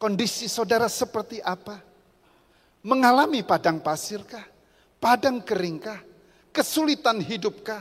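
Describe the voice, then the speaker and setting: Animated and lively in intonation, a woman with a fairly high pitch speaks at a moderate pace, leaving long, frequent pauses. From Central Java, Rembang. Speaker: pastor. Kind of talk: sermon.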